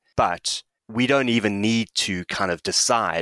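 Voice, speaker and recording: A man's bright, sharp voice with ordinary pitch variation, dry and close with no echo, on a very clean recording with a silent background. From South Africa. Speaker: sports psychologist. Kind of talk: casual chat.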